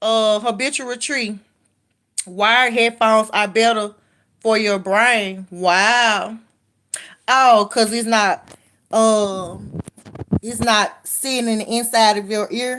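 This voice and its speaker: Speaking very slowly with long, frequent pauses, a woman with a Southern US accent uses a fairly high, bright, sharp voice and fairly even intonation on a very clean recording with a silent background. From Memphis, Tennessee (US South). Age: 30s. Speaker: livestreamer. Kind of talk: casual live-stream chat reading comments. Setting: live stream, late night. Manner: casual, conversational.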